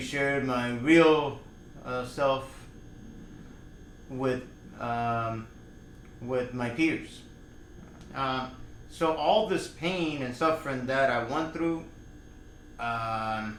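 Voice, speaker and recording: At a very slow pace with long, frequent pauses, a man of medium pitch speaks with ordinary pitch variation in audible room echo. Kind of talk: personal vlog monologue. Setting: in front of a camera. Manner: halting, many fillers.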